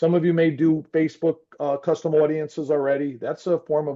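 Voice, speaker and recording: The speaker is a man with a fairly high pitch. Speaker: marketing executive presenter. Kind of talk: presentation. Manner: fast.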